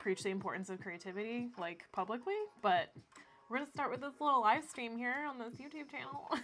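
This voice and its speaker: A woman with a high voice talks fairly quickly with lively intonation. Faint music plays in the background. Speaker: illustrator live streamer. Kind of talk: casual live stream chat while drawing. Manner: animated. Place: home room.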